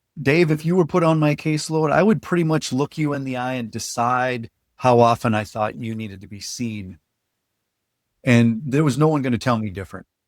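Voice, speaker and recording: On a very clean recording with a silent background, a man with an American accent speaks fairly quickly in an unremarkable speaking voice at medium pitch, with lively intonation and big swings in loudness. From northern Minnesota. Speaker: trainer. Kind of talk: podcast interview.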